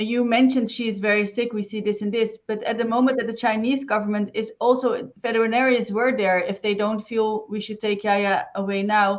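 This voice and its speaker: The intonation is monotone and flat. A woman speaks at a fairly high pitch. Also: fairly quick pace. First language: not English. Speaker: interviewer. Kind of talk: interview.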